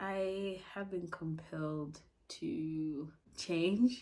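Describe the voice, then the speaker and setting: Amid audible room echo, a woman speaks in a dark, mellow tone at a fairly low pitch with fairly even intonation. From Africa. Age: 20s. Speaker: podcaster. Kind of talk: casual monologue.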